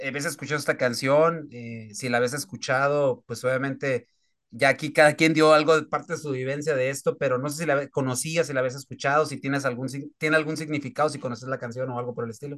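Fairly quick speech from a man with a plain, everyday voice, fairly high pitch and fairly even intonation over a quiet background. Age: 40s. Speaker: radio sports host. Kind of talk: sports talk radio.

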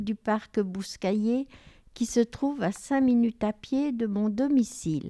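This woman's voice is high-pitched with a dark, mellow tone, and she speaks at a very slow pace. The sound is dry and close with no echo, over a quiet background. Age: 70s. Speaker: retiree, volunteer. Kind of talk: reading aloud.

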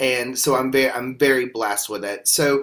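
Man with a Southern US accent, fairly high in pitch, at a moderate pace. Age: 40s. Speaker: podcast host. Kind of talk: testimony.

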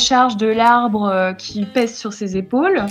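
A fairly high female voice, fairly slow in pace and ordinary in pitch variation. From northeastern France (Champagne, Marne village). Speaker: local tree campaigner. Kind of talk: radio interview. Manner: hesitant, many fillers.

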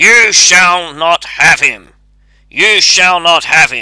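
Shouting at a very slow pace, a man uses a gruff, put-on character voice that is high in pitch, with ordinary pitch variation. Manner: shouting, cried out.

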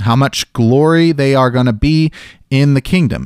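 A man speaks at a fairly slow pace and a fairly high pitch, in an ordinary speaking voice. The recording is very clean, with a silent background and a dry, close sound free of echo. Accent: American. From US South, Memphis, Tennessee. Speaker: podcast host, Bible teacher. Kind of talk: solo Bible study podcast. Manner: casual with many filler words.

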